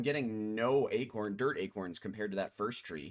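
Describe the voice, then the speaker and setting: In a Midwestern US accent, a man talks at a moderate pace. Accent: Midwest US. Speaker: video game streamer. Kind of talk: live gameplay commentary. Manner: halting, many fillers and restarts; casual.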